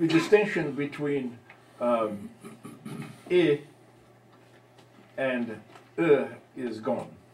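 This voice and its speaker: At a very slow pace with long, frequent pauses, a man speaks with a fairly high pitch and lively intonation amid audible room echo and noticeable background noise. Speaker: linguistics lecturer, audience member. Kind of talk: academic Q&A discussion.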